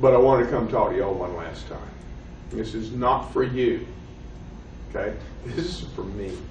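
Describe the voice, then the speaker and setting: A man with a Southern US accent talks at a moderate pace, leaving long, frequent pauses and swinging widely in loudness. Noticeable background noise and audible room echo surround him. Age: 50s. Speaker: professor. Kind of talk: lecture. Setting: classroom.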